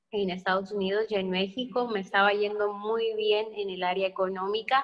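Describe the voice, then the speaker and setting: A woman's medium-pitched speech moves at a moderate pace, with monotone, flat intonation. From northern Mexico, Sonora. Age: 20s. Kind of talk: testimony.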